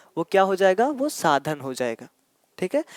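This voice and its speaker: A man speaks at a high pitch. The sound is dry and close, with no echo. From Ayodhya, Uttar Pradesh, India (Awadhi region). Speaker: teacher. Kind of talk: exam-prep lecture. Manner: explanatory, repetitive.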